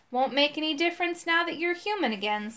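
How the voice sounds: Using a put-on character voice, a woman speaks at a very fast pace with an extremely high, gruff pitch.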